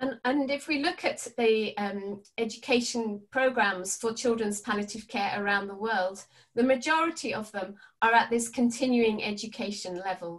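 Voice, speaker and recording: Against a quiet background, a somewhat breathy woman speaks at a fairly slow pace with ordinary pitch variation. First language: English (speaking Spanish). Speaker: palliative care educator. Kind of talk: webinar presentation. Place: home room. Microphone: webcam.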